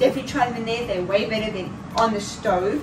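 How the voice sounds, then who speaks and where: A woman at a very fast pace, with ordinary pitch variation and noticeable background noise. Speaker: vlogger. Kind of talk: casual vlog chat. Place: kitchen. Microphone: camera far.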